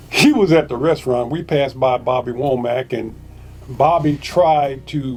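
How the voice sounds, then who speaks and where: With ordinary pitch variation and a moderate pace, the speech comes out somewhat breathy. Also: man. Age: 60s. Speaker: spiritualist show host. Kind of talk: casual storytelling monologue. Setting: on the beach.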